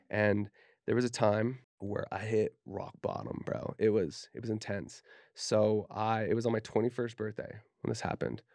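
A man with an American accent and a plain, everyday voice, medium in pitch, at a moderate pace. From Utah, Davis County. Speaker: tattoo artist. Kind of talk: casual chat.

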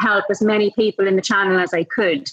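Against noticeable background noise, a woman with a Northern Irish accent speaks at a medium pitch. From Northern Ireland, Enniskillen. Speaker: sales trainer and speaker. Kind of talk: interview. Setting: at a conference.

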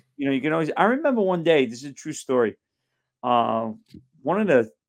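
A normal speaking voice from a man with an American accent, fairly high in pitch, with lively intonation. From Brooklyn, New York. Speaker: actor. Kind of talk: interview. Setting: video call.

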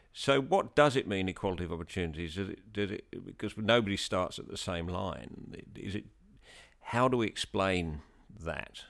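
Recorded very cleanly with a silent background, a man with an English accent speaks at a moderate pace in a fairly low pitch, with ordinary pitch variation and big swings in loudness. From England. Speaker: podcast host. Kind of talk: interview.

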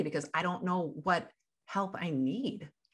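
Speaking with vocal fry, a woman swings her pitch very widely. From US Midwest. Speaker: life coach. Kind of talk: interview.

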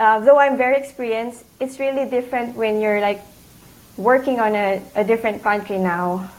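At a moderate pace, a woman with a Filipino accent talks in a fairly high pitch with ordinary variation. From Philippines. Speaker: CPA exam candidate, accountant. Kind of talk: casual interview.

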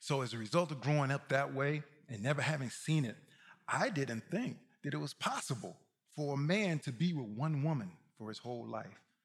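On a very clean recording with a silent background, a man with an American accent talks at a fairly quick pace, his fairly high, somewhat breathy voice showing ordinary pitch variation. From Mississippi. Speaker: guest preacher and musician. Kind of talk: sermon. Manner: animated.

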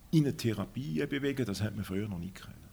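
A man speaks in a normal speaking voice at a medium pitch. His intonation is lively. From Schaffhausen, Switzerland. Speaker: diabetic patient. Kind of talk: interview.

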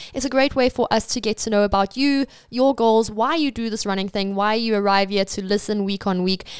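Heard in a very clean recording with a silent background and a dry, close sound with no echo, a woman in an ordinary speaking voice talks at a fairly quick pace with a fairly high pitch and ordinary pitch variation. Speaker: podcast interviewer. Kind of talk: interview.

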